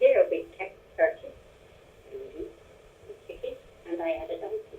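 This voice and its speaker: Noticeable background noise runs under this recording. A woman talks at a fairly slow pace, her loudness swinging widely. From Forest of Dean, Gloucestershire. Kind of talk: interview answer.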